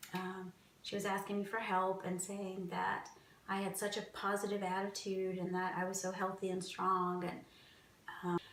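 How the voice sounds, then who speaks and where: Over noticeable background noise and audible room echo, a woman speaks at medium pitch and a moderate pace in a monotone, flat intonation. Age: 40s. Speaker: cancer patient interviewee. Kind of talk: personal testimony interview.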